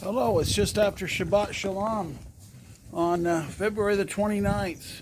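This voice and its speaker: The room has an audible echo, and noticeable background noise is present. A man talks through it at a moderate pace. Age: 60s. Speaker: horse owner vlogger. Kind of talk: casual video appeal. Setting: outdoors in blizzard, snow shed. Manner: halting, many fillers.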